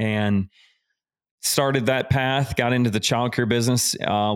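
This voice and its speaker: A man talks in a monotone with flat intonation, and the sound is dry and close with no echo. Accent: Southern US. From US South. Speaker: business and life coach. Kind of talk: casual interview chat.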